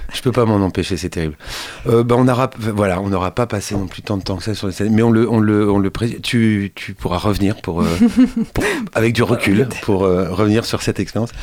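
Against noticeable background noise, a man speaks at a fairly quick pace with fairly low pitch and fairly even intonation. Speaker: radio host and journalist. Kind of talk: interview. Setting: radio studio.

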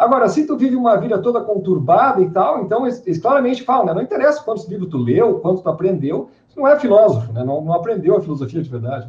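In a southern Brazilian accent, a man talks very fast with hardly any pauses, a high pitch and very wide pitch swings. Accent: gaúcho Brazilian Portuguese. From southern Brazil, Porto Alegre. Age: young. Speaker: podcast co-host. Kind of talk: casual chat. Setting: video call.

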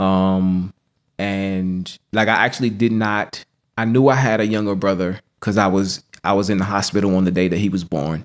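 With an American accent, a man with an unremarkable speaking voice talks at a moderate pace, his pitch fairly low and his intonation fairly even. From US, Norfolk, Virginia. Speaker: spoken word poet. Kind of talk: interview.

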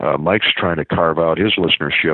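With a Midwestern American accent, a man speaks at a fairly quick pace in a very deep, low voice. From US Midwest (small-town Iowa). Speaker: sports play-by-play broadcaster. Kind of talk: casual interview.

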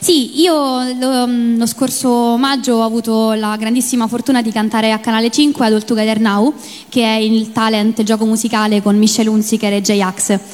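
A woman with a Roman accent, fairly high pitch, a moderate pace, very even loudness and fairly even intonation, against noticeable background noise. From Rome, Italy. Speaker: singer and cosplayer, contest finalist. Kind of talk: interview on stage. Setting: stage with audience. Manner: hesitant, many fillers.

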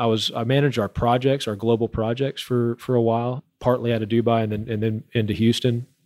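With an American accent and medium pitch, a man speaks at a fairly quick pace with hardly any pauses, in a dry, close sound with no echo. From Oklahoma (Edmond). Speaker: drilling company area manager. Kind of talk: interview. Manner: halting, many repetitions.

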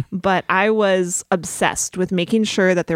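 An animated tone in a General American accent, with a dry, close sound and no echo. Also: woman. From Colorado. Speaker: film director. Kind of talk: casual interview chat. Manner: animated, laughs often.

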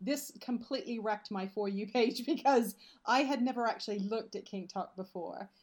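With ordinary pitch variation, this somewhat breathy voice keeps up a fairly quick pace. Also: woman, fairly high pitch for a woman. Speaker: podcast guest. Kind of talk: casual chat. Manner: animated.

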